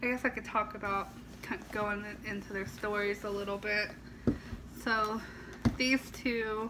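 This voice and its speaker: Over noticeable background noise, a woman speaks fairly slowly at a fairly high pitch, monotone and flat, with long, frequent pauses. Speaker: doll collector vlogger. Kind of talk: casual vlog. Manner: casual with fillers.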